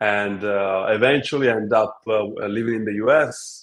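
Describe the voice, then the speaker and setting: A man speaks with an Italian accent and fairly even intonation. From Italy. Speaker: app co-founder. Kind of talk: interview.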